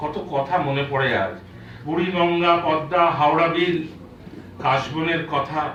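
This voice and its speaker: Noticeable background noise sits behind the speech. A man with a fairly high voice talks with fairly even intonation. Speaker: poet. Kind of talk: poetry reading. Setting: live book launch event.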